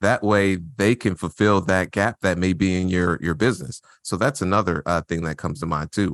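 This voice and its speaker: Against a quiet background, a man with an American accent speaks at a fairly quick pace in a very deep, low pitch, with a dry, close sound and no echo. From Indianapolis, Indiana, US Midwest. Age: 30s. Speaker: real estate investor. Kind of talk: interview.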